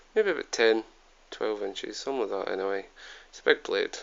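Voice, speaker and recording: A man is speaking. He has a Scottish accent. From Scotland. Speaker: YouTube product reviewer. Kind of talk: product review. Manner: hesitant, many fillers. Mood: relaxed, informal. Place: home room. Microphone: phone near.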